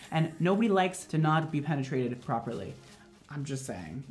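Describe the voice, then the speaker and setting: Over faint background music, a man talks at a fairly quick pace. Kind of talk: tutorial. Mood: playful, joking. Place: studio.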